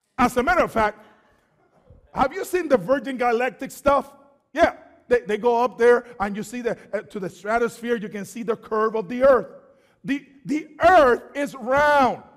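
Over a quiet background, the speaker has an animated tone and lively intonation at a moderate pace. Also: man, extremely high pitch for a man. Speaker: preacher. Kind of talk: sermon. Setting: church. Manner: call-and-response. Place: church.

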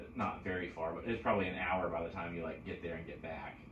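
A man's very deep, low voice at a fairly quick pace, with audible room echo and light background noise. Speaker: podcast host telling trip story. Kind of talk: casual podcast conversation. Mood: relaxed, joking. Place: home room.

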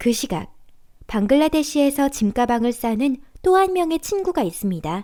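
At a moderate pace, a woman speaks in a high pitch with very wide pitch swings, on a very clean recording with a silent background. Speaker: voice actor. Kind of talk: documentary narration.

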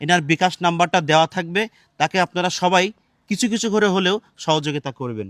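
This man has a high pitch with ordinary pitch variation. The recording is very clean, with a silent background and a dry, close sound with no echo. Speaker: charity vlogger. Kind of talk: charity appeal vlog.

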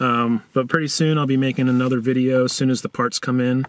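A man speaks in a dry recording with no echo. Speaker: car vlogger. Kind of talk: casual vlog chat. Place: car. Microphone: phone near.

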